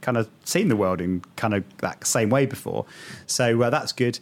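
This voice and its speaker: Here is a man with a British accent. He speaks at a moderate pace. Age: 40s. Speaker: podcast host, marketer. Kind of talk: casual chat.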